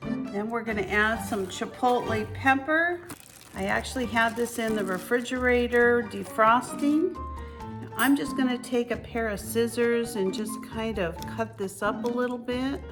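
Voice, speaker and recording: A woman with a fairly high-pitched voice speaks over music playing in the background. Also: ordinary pitch variation, fairly slow pace. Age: 60s. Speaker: home cook and weight-loss vlogger. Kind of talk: cooking tutorial to camera.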